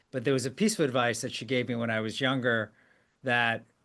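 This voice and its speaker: A man speaks at a medium pitch and a moderate pace in a flat monotone, against a quiet background. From US, Korean immigrant family. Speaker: podcast host, CEO. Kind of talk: interview podcast.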